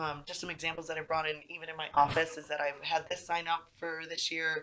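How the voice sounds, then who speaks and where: A woman talks at a fairly quick pace in a very deep, low pitch. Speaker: university recreation administrator. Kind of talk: application video talk to camera. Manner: enthusiastic.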